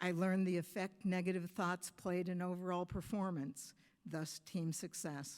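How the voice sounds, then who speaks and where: A fairly low-pitched woman with a US Midwestern accent at a moderate pace, on a very clean recording with a silent background. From US Midwest, Michigan. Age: 70s. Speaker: softball coach, hall of fame inductee. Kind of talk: acceptance speech.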